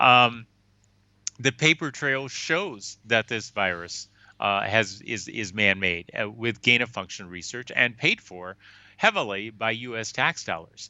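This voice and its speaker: Speaking fairly slowly in an American accent, a man has an unremarkable speaking voice with medium pitch and ordinary pitch variation. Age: 60s. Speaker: physician and scientist. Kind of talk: interview. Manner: repetitive false starts.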